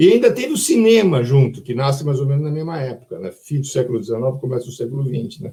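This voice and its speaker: Rattling along at a very fast pace with hardly any pauses, a man speaks in a fairly high pitch with lively intonation. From Brazil, São Paulo. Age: 70s. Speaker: children's book author. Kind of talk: online live talk. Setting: online live stream. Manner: conversational, animated.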